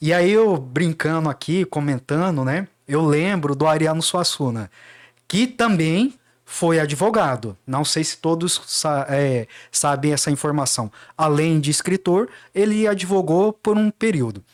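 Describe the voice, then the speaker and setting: In a very clean recording with a silent background, a man with a Cuiabá accent talks at a fairly slow pace with a fairly high pitch and lively intonation. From Mato Grosso, Brazil (Baixada Cuiabana). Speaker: lawyer. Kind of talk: podcast interview.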